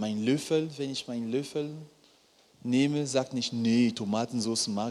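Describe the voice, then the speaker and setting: A man at medium pitch talks at a very slow pace with ordinary pitch variation. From Cameroon. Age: 30s. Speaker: preacher. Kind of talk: sermon.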